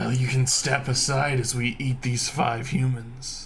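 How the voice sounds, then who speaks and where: A man speaks in a put-on character voice at medium pitch, growling, raspy and guttural, at a fairly slow pace with very even loudness and a flat, monotone delivery. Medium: actual play. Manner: blunt, hungry.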